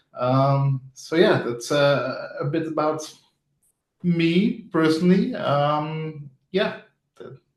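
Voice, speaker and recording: With a Flemish accent, a man speaks at a very slow pace and fairly high pitch, with ordinary pitch variation, big swings in loudness, and long, frequent pauses. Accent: Belgian (Flemish) English. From Belgium. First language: not English. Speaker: front-end developer. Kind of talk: interview. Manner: casual, hesitant with fillers.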